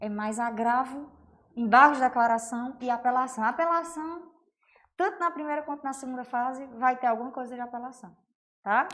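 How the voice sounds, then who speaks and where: A woman talks at a moderate pace in a high pitch with ordinary pitch variation and big swings in loudness. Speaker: law teacher. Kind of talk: online lecture. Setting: livestream. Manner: casual, conversational.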